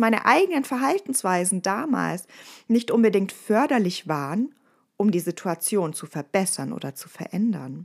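Speaking at a moderate pace, a woman uses a medium pitch. Her pitch swings very widely. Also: very clean recording, silent background. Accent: slight Bavarian. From Bavaria, Ostallgäu. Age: 30s. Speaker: resilience trainer and podcast host. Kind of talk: casual podcast monologue.

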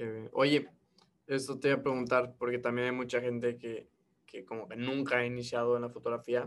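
At a moderate pace, a man talks in a monotone, flat intonation at a medium pitch. His loudness swings widely. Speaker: podcast host. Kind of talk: casual chat.

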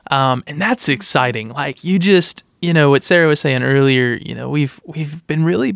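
A man speaks in a plain, everyday voice, fairly high in pitch with ordinary pitch variation. His pace is moderate, and the sound is dry and close with no echo. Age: 20s. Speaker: campus minister. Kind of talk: casual chat.

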